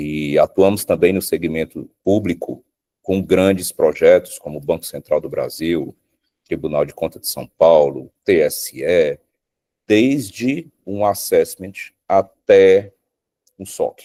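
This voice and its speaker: A man talks at a very slow pace with big swings in loudness, in a dry, close sound with no echo. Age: 40s. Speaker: security company sales director. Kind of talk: interview conversation.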